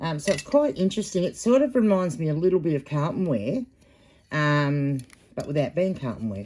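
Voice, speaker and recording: A woman with an Australian accent speaks at a fairly quick pace in a very deep, low pitch with a dark, mellow tone and very wide pitch swings. The recording is very clean, with a silent background. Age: 50s. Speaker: online reseller. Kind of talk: casual unboxing vlog. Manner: hesitant, many filler ums.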